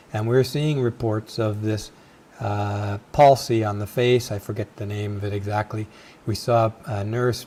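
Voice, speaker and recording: A man's somewhat breathy, fairly low-pitched voice at a fairly slow pace. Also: fairly even intonation. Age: 60s. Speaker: video podcast host. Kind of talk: casual monologue.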